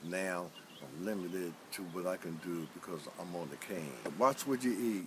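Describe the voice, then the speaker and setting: The man here delivers his words at a moderate speed. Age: 60s. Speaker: stroke survivor. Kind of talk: testimony.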